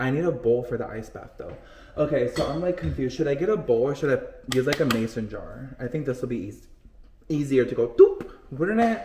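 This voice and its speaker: Fairly high-pitched male voice, animated and fairly quick, with lively intonation, big swings in loudness and noticeable background noise. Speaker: lifestyle vlogger. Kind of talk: casual vlog chat while cooking.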